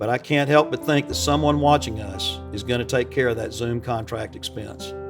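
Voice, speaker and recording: Background music plays throughout. The man's pitch swings very widely. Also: medium pitch for a man, moderate pace. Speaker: charity gala auctioneer. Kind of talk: charity fundraiser speech to camera.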